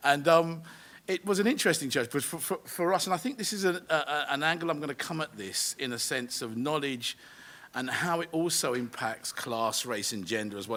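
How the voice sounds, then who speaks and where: Speaking with a South London accent, a man talks at a fairly quick pace with lively intonation. His pitch is fairly high and his tone bright and sharp. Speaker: education charity CEO. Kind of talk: panel debate talk. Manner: hesitant, many fillers and repetitions.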